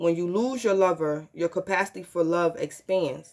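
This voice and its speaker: A woman with a plain, everyday voice speaks at a moderate pace, her pitch fairly low with ordinary variation. The background is quiet. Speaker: tarot reader. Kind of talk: reading a guidebook text aloud in a tarot vlog. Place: home room. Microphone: phone near.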